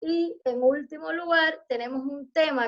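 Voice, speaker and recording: A woman talks with a high pitch. Her intonation is lively. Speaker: university lecturer. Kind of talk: online lecture. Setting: video call.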